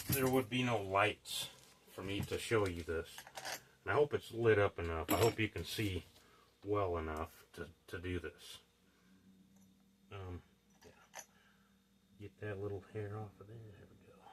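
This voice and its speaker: A man at a fairly slow pace and fairly low pitch, somewhat breathy, with ordinary pitch variation, big swings in loudness, and long, frequent pauses. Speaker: DIY solar hobbyist. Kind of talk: hands-on tutorial. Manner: halting; goes quiet at times.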